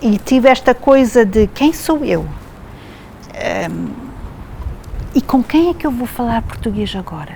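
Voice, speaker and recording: Noticeable background noise runs under this recording of a woman. She talks at a fairly slow pace, with long, frequent pauses. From Quebec, Montreal. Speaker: theatre artist. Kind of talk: interview.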